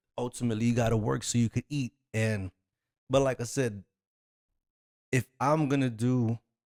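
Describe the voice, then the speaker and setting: A man speaks in a normal speaking voice at medium pitch and a moderate pace, with very even loudness, fairly even intonation, and a dry, close sound with no echo. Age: 40s. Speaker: podcast host. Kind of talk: solo podcast monologue. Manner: casual, conversational with many fillers.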